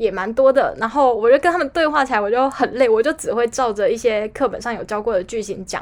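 An ordinary speaking voice talks at a moderate pace. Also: woman. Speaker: podcast co-host. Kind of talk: casual chat.

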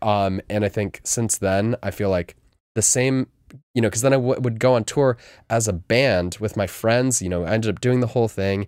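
In a very clean recording with a silent background and a dry, close sound free of echo, a man with an American accent talks at a moderate pace in a fairly low voice with ordinary pitch variation and an unremarkable speaking voice. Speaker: guest DJ and music label owner. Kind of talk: casual interview chat.

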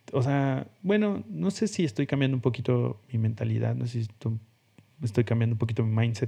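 Lively in intonation, a man talks at a fairly quick pace in a medium-pitched, somewhat breathy voice with a dark, mellow tone. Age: 30s. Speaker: podcast host, designer. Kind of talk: solo podcast monologue. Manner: casual, hesitant with fillers.

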